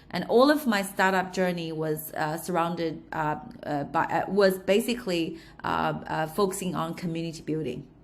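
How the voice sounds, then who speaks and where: With a slight Australian accent, a woman speaks at a moderate pace with a fairly low pitch and ordinary pitch variation, amid audible room echo. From China, Shanghai. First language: Chinese. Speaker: entrepreneur. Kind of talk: interview. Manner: halting, many fillers.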